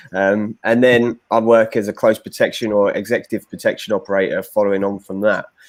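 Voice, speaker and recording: Delivered at a fairly quick pace with hardly any pauses, the speech has monotone, flat intonation and an English accent. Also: man, fairly low pitch for a man. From London, England. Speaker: former commando, bodyguard. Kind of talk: podcast interview.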